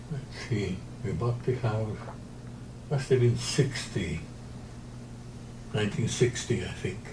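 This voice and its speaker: A man's medium-pitched voice with ordinary pitch variation, a fairly slow pace, long and frequent pauses, and audible room echo. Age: 90s. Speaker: interviewee, retired pilot and sailor. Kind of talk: interview. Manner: halting.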